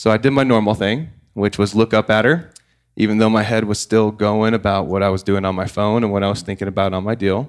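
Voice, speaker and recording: Very fast speech comes from a man with an American accent and a fairly low pitch. His intonation is fairly even, and the recording is very clean with a silent background. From Oklahoma. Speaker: CBD entrepreneur, former real estate agent. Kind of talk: casual roundtable chat.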